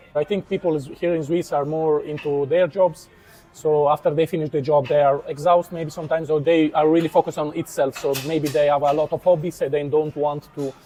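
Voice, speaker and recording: A man speaks at a fairly quick pace in a fairly high voice. His delivery is flat and monotone, with music playing behind him. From Italy. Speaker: YouTuber interviewer. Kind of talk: casual interview.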